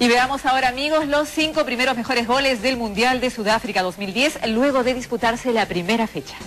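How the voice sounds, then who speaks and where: Over music in the background, a woman with a high pitch talks at a fairly quick pace with ordinary pitch variation. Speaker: TV news anchor. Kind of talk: TV news read.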